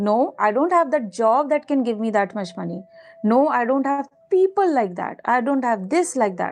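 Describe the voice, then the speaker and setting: With music in the background, a woman with an Indian accent speaks at a moderate pace, her high voice making very wide pitch swings. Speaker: manifestation coach. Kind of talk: live stream talk with chat. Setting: live stream. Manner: animated.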